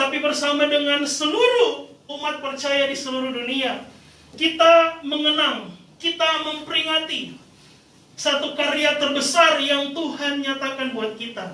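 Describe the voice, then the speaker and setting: With a raised, projected voice at an extremely high pitch for a man, he speaks at a fairly slow pace with ordinary pitch variation. Noticeable background noise and audible room echo fill the recording. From Indonesia, Manado (North Sulawesi). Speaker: pastor. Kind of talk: sermon. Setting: church service with congregation.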